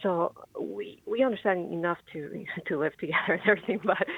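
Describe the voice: At a fairly quick pace, a woman speaks in a fairly low pitch with a slightly husky edge, vocal fry and ordinary pitch variation.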